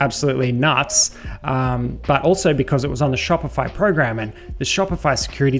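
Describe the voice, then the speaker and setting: With faint music behind him, a man talks at a fairly quick pace with ordinary pitch variation. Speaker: security educator. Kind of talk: tutorial commentary over screen share.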